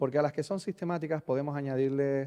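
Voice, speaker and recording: A man's dark, mellow voice at a medium pitch, with a Canarian accent and fairly even intonation, over a quiet background. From Canary Islands, Spain. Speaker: conference speaker on software delivery. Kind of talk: conference talk. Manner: hesitant, many fillers and repetitions.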